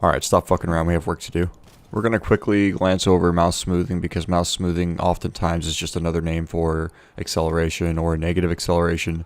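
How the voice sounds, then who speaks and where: A man speaks very fast in a very deep, low voice with monotone, flat intonation. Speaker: gaming YouTuber. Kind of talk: tutorial.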